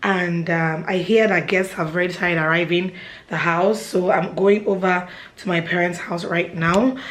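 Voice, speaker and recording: With audible room echo and noticeable background noise, a woman speaks in a fairly low pitch with fairly even intonation. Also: moderate pace. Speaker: vlogger. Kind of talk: vlog talk to camera. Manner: casual, chatty.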